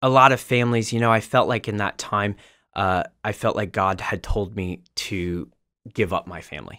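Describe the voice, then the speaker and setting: A man speaks with fairly low pitch and a bright, sharp tone. His pitch varies in an ordinary way, and the background is quiet. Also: moderate pace. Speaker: podcast guest. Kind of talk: interview answer. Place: studio. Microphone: studio mic.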